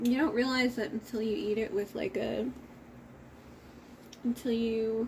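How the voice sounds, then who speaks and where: A woman with an American accent and a fairly high, somewhat breathy voice speaks at a fairly slow pace with fairly even intonation and long, frequent pauses. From United States. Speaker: streamer. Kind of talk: casual chat while cooking on livestream.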